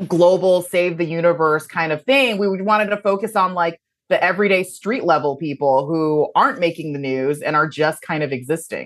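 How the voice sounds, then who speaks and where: A woman with a plain, everyday voice talks at a fairly low pitch and a fairly quick pace with hardly any pauses. Her pitch variation is ordinary, and the background is quiet. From born in China, raised in the US. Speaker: TV comedy writer. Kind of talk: interview.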